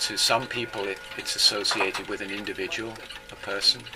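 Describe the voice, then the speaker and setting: A man talks with a fairly low pitch. Music plays in the background. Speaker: clock repairer. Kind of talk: interview answer.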